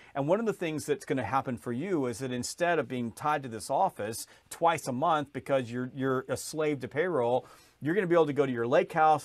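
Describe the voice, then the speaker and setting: At a fairly quick pace, a man with an American accent speaks in a fairly high pitch with ordinary pitch variation. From US South, Georgia. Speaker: sales author and trainer. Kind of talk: podcast interview. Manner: fast.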